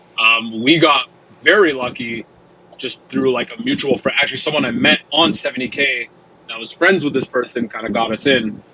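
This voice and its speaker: Noticeable background noise sits behind a man talking at a moderate pace. His voice is medium in pitch with ordinary pitch variation. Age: 20s. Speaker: metal band musician. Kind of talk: casual interview chat.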